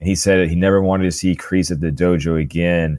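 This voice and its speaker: A man with a very deep, low pitch, an animated, enthusiastic tone and ordinary pitch variation. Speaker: podcast host. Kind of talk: casual chat, TV recap podcast.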